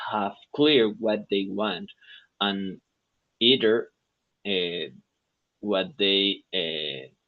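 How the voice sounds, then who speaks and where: Someone speaks with a Spanish accent at a very slow pace, with long, frequent pauses. The pitch varies in an ordinary way. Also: man, fairly low pitch for a man. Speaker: software engineer, English student. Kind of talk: English lesson conversation practice. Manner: halting, many fillers and restarts.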